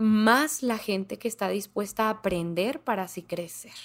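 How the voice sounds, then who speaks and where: A woman with a northern Mexican accent speaks at a fairly high pitch with ordinary pitch variation. The recording is very clean, with a silent background. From northern Mexico, Ciudad Juárez, Chihuahua. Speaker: comedian. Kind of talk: casual chat.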